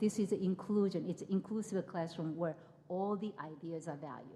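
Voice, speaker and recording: Moderate pace, ordinary pitch variation and a somewhat breathy quality. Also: woman. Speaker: professor. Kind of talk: keynote lecture. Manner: halting, repeats words.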